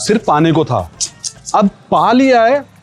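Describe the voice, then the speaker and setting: A man speaks in a high voice with very wide pitch swings. Music plays behind him. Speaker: radio jockey. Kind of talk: interview answer, casual conversational talk. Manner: relaxed, reflective, chatty.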